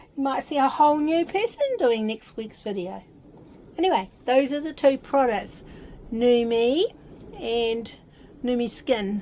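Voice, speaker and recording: Over noticeable background noise, a woman with a high pitch and lively intonation speaks at a fairly slow pace with long, frequent pauses. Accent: New Zealand. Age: 70s. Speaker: vlogger. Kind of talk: casual vlog with product unboxing. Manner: chatty, informal.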